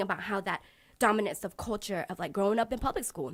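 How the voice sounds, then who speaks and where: A woman's very fast, medium-pitched speech with a Lao accent on a very clean recording with a silent background. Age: 30s. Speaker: podcast guest. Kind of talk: casual chat.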